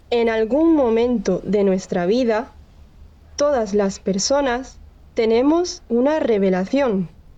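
A woman with a dark, mellow tone and fairly high pitch, with lively intonation at a very slow pace. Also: very even loudness. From Andalusia, southern Spain. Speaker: storyteller. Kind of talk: personal story narration. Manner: slow and clear.

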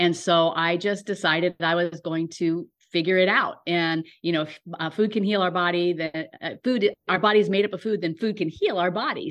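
Here is a woman with an ordinary speaking voice at medium pitch. She keeps a moderate pace and fairly even intonation. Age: 60s. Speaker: wellness coach. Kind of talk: casual interview.

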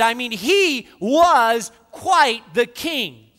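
Projecting his voice, a man speaks at an extremely high pitch with a bright, sharp tone and lively intonation. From northern Spain. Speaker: pastor. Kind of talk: sermon.

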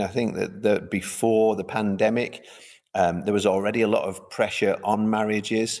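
A man in a Mancunian accent speaks with a fairly low pitch. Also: very clean recording, silent background. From Manchester, England. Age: 50s. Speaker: pastor. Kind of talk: interview. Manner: halting.

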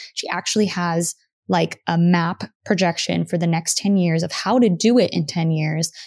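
This woman has an unremarkable speaking voice, with a fairly low pitch and fairly even intonation. The recording is very clean, with a silent background. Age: 30s. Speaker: podcast host, former music industry worker. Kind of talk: solo monologue. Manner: casual, filler-heavy.

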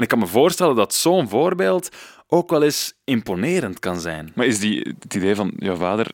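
A man at a moderate pace with very wide pitch swings, in a dry, close sound with no echo and a very clean recording over a silent background. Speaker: radio podcast host. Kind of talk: scripted narration with interview. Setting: garden table at guest's home.

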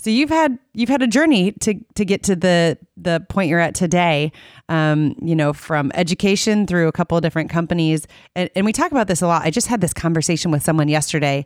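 An unremarkable speaking voice from a woman, fairly low in pitch, fairly quick, with lively intonation and very even loudness, on a very clean recording with a silent background. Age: 30s. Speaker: radio host. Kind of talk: casual interview. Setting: studio.

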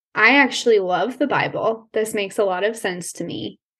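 Moderately paced, a woman with a General American accent speaks in a plain, everyday voice of medium pitch with ordinary pitch variation. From Colorado. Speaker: counseling student. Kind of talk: interview conversation.

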